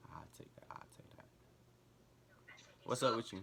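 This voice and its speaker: Whispering at a moderate pace, a man speaks with an American accent. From United States. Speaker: YouTuber. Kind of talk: casual vlog intro and prank chats. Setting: video chat app. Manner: slangy, laid-back.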